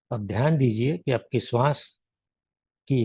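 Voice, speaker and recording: A man talks with a medium pitch, ordinary pitch variation, and a somewhat breathy, dark, mellow tone. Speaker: meditation teacher. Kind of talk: guided meditation. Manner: gentle; slow.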